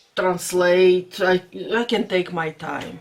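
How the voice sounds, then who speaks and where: With a Latvian accent, a woman talks at a very slow pace in a fairly low pitch. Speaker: vlogger. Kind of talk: casual vlog talk. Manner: halting.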